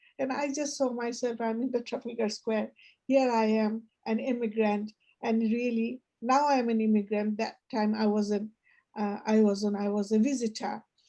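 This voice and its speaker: A woman with a Bangladeshi accent speaks in a dark, mellow tone at a fairly high pitch. She keeps a moderate pace against a quiet background. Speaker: poetry reading guide and storyteller. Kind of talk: casual discussion. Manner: halting.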